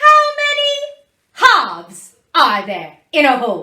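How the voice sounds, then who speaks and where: In a put-on character voice, someone speaks at a fairly slow pace, squeaky and extremely high-pitched. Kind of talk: classroom teaching to children. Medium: solo performance. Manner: clear, patient, encouraging.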